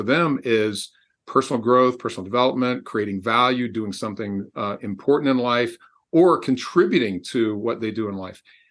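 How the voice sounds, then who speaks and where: A man with an American accent talks at a fairly quick pace in an unremarkable speaking voice. His pitch sits at a medium level with ordinary variation. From Texas. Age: 60s. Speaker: executive coach and author. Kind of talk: interview.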